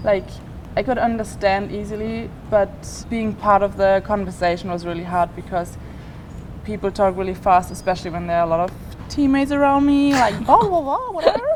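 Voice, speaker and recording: A woman with a German accent and medium pitch at a fairly quick pace, with noticeable background noise. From Germany. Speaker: college gymnast. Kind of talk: casual chat.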